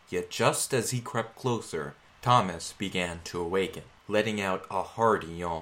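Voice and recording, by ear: Someone reads the text aloud in a natural voice.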